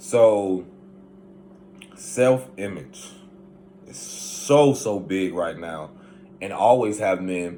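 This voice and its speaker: A man with a Southern US accent and fairly low pitch, very slow pace, ordinary pitch variation, big swings in loudness, and long, frequent pauses. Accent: southern twang. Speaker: spiritual self-help vlogger. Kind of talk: casual monologue.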